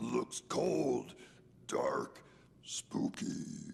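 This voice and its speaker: In a growling, cartoonish character voice, a man speaks over clear background noise. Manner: broken, clipped speech.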